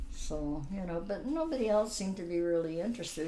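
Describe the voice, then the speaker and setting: With a Canadian accent, a woman speaks at a fairly low pitch with very wide pitch swings, amid noticeable background noise and audible room echo. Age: 80s+. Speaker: grandmother telling her life story. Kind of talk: family interview. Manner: halting.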